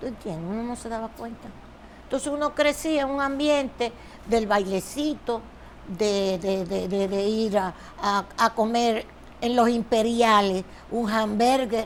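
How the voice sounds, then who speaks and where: In a Dominican accent, a woman speaks fairly slowly at a fairly high pitch with ordinary pitch variation. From Dominican Republic, Santo Domingo. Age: 70s. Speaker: politician. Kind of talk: interview.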